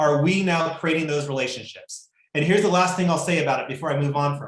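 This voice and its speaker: A man talks with ordinary pitch variation in a high pitch. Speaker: real estate coach. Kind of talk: live webinar training. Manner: fast; animated.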